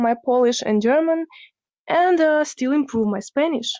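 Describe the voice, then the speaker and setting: Speaking at a fairly slow pace, a woman uses a high-pitched voice. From Ukraine. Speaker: language student. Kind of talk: recorded listener question.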